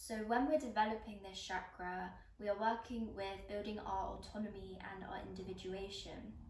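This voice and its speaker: With noticeable background noise behind her, a woman speaks in a calm tone at a moderate pace, using a medium pitch and fairly even intonation. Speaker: yoga instructor. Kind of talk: guided yoga class instruction. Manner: calm, instructional.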